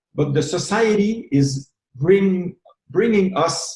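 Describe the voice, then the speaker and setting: This man speaks with a Quebec accent and a somewhat breathy voice. His pitch varies in an ordinary way. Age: 60s. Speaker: retired massage therapist and movement leader. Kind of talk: interview. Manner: halting, repeats words.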